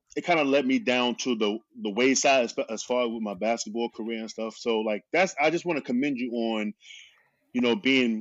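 Here is an unremarkable speaking voice. A man talks at a medium pitch. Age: 30s. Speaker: podcast host. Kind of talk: casual interview chat.

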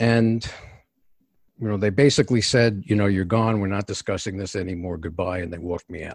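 In a very clean recording with a silent background, a man speaks with a New York accent at a fairly quick pace. His fairly low voice has ordinary pitch variation and big swings in loudness. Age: 60s. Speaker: executive coach. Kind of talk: interview. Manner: direct.

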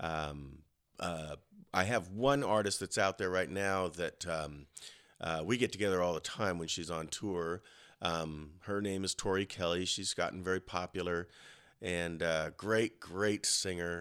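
With an American accent, the speaker goes at a fairly slow pace with ordinary pitch variation. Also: man, very deep, low pitch for a man. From Colorado. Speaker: voice teacher. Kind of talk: casual chat. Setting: studio. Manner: halting.

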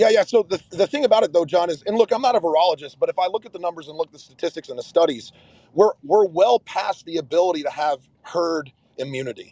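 Very fast and with lively intonation, a man speaks in a high, dark, mellow voice with big swings in loudness, the sound dry and close with no echo. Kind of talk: live audio room discussion. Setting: in a car.

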